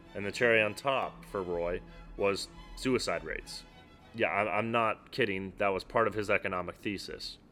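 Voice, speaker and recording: A man talks at a fairly low pitch and moderate pace in a deadpan tone. Music plays in the background. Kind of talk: sardonic finance commentary narration. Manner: sarcastic, deadpan.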